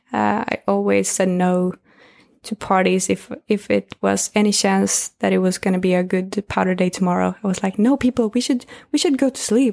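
A woman with a Swedish accent at a moderate pace, in a very clean recording with a silent background and a dry, close sound with no echo. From northern Sweden. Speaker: social media manager and skier. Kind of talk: casual chat. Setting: indoors in Austrian ski resort.

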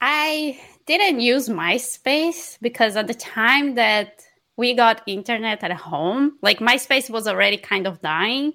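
Very slowly, a woman in a Portuguese accent speaks with a high pitch and a bright, sharp tone. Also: lively intonation, very clean recording, silent background. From northeast Brazil (Maranhão). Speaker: software developer, company co-founder. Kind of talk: interview.

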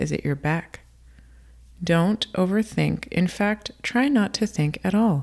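A woman's fairly low voice, ordinary pitch variation, a normal speaking voice. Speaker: podcast host. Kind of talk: guided meditation. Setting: podcast recording. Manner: slow, calm, soothing, paced breathing counts; warm, gentle, earnest.

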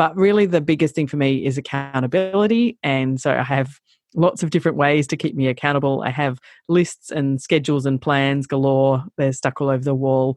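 Very deep, low female voice with an Australian accent, at a fairly quick pace, in a dry, close sound with no echo and a quiet background. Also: ordinary pitch variation. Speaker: travel blogger and social media consultant. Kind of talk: interview conversation. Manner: hesitant, many fillers.

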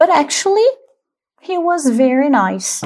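A woman speaks with a Brazilian accent. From Brazil, São Paulo state. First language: Portuguese. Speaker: podcaster sharing travel stories. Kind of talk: personal storytelling monologue. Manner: casual, with hesitations.

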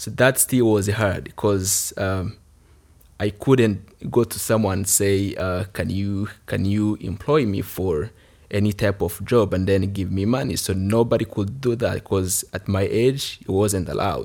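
A man with a Rwandan accent speaks at a fairly slow pace. His pitch is fairly low with ordinary variation, on a very clean recording with a silent background. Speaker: youth village alumnus and leader.

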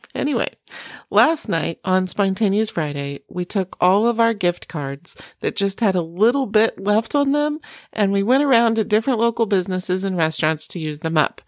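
Recorded very cleanly against a silent background, with a dry, close sound and no echo, a woman of medium pitch speaks with an American accent, lively intonation and a moderate pace. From US Midwest, Iowa. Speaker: parenting podcast host. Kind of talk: casual encouraging monologue.

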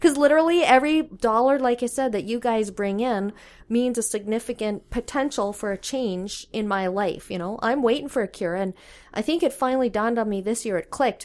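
A woman's fairly high voice in a Canadian Prairie accent, at a fairly quick pace with ordinary pitch variation, on a very clean recording with a silent background. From Saskatchewan, Canada. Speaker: curling club communications director. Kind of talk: casual interview. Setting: curling club.

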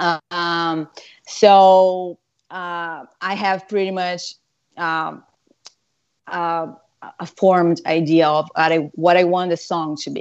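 Speaking with a Portuguese accent at a very slow pace, the voice is monotone and flat, with long, frequent pauses and big swings in loudness. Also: woman, fairly low pitch for a woman. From Brazil, São Paulo. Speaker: guitarist. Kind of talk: casual interview.

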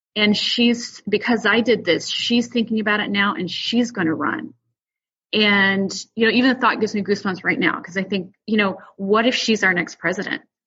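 In a normal speaking voice with an American accent, a woman talks at a moderate pace with ordinary pitch variation. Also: fairly high pitch for a woman. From outside the US. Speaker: school board candidate. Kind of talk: interview.

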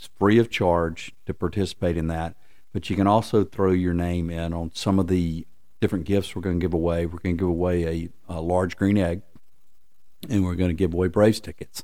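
In a Southern US accent, a man with a very deep, low pitch and a dark, mellow tone speaks at a fairly quick pace with monotone, flat intonation. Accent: Southern American. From US South, Lookout Mountain, Tennessee/Georgia. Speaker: tourist attraction executive. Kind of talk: interview. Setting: office.

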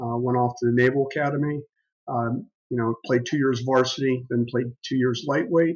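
A man with an American accent has an ordinary speaking voice at medium pitch. He talks at a moderate pace with fairly even intonation. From western Pennsylvania. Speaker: business executive and former Marine officer. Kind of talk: interview.

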